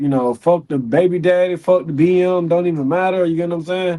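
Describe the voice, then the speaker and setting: With an American accent, a man speaks at a high pitch in a dark, mellow tone. His pace is moderate and his pitch variation ordinary. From US South, Pensacola, Florida. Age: 20s. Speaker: MMA fighter. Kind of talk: casual chat.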